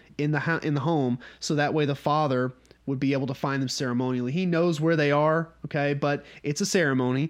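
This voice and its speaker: With a Southern US accent, a man speaks at a fairly quick pace in a fairly high voice. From North Georgia, US South. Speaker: podcast host leading a Bible study. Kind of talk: Bible study teaching, casual. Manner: casual, conversational, humorous.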